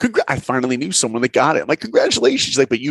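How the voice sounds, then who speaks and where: With a New York accent and an animated tone, a man talks at a very fast pace in a dry, close sound with no echo. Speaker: animator and film director. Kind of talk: interview storytelling.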